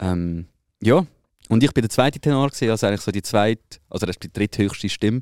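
On a very clean recording with a silent background and a dry, close sound with no echo, a man talks at a fairly quick pace in a fairly low pitch. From Switzerland. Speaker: podcast host. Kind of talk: casual chat.

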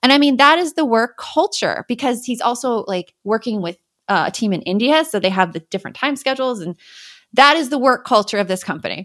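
Animated and lively in intonation, a woman with an American accent speaks fairly quickly at a high pitch on a very clean recording with a silent background. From Arizona, US. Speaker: parenting educator and podcast host. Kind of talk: interview.

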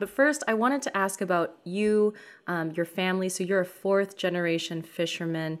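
A woman speaks at a fairly quick pace in a normal speaking voice. Her pitch sits at a medium level. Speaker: podcast co-host interviewer. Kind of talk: casual interview.

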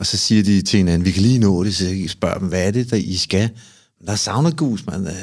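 Here is a man with a plain, everyday voice at a fairly low pitch. He talks at a fairly quick pace with ordinary pitch variation. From Copenhagen, Amager. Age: 50s. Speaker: sauna ritual performer. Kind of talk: casual interview chat.

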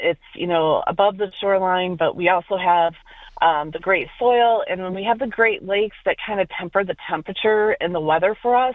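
A woman's medium-pitched voice, a normal speaking voice, at a moderate pace with ordinary pitch variation. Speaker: agricultural industry director. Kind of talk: interview.

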